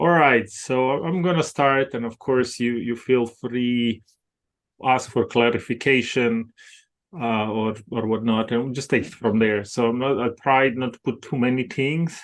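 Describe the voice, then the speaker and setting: Against a quiet background, a man speaks at medium pitch and a fairly slow pace with fairly even intonation. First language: not English; English is second language. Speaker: mindset performance coach. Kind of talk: podcast interview. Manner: halting, frequent fillers.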